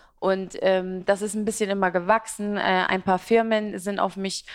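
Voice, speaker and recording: A woman's medium-pitched voice at a moderate pace. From Iraq, emigrated to Germany as a child. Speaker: fashion and beauty blogger. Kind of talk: interview at live business talk event. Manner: talkative, many fillers.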